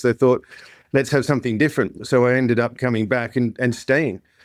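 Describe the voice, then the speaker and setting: A man with a slight Australian accent, monotone and flat in intonation, in a very clean recording against a silent background. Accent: slight Australian twang. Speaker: insurance tech company founder and CEO. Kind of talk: podcast interview.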